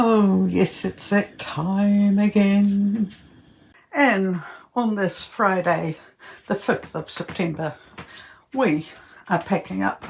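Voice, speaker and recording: A woman speaks at a very slow pace in a medium pitch, somewhat breathy, with long, frequent pauses. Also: ordinary pitch variation. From Netherlands and New Zealand. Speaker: travel vlogger. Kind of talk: casual travel vlog narration.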